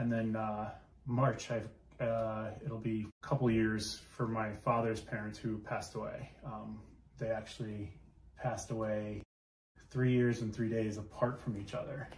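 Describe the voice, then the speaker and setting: A man at a medium pitch, a fairly slow pace, flat monotone intonation, and audible room echo. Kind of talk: casual chat. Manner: loud; hesitant, many fillers.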